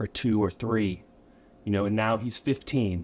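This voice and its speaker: A man with an American accent talks at a moderate pace, his pitch fairly low with ordinary variation. The recording is very clean and the background silent. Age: 30s. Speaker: motivational speaker. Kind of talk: talk to students. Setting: school classroom talk.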